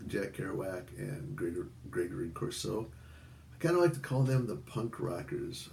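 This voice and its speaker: A man talks at a moderate pace. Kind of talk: casual talk to camera.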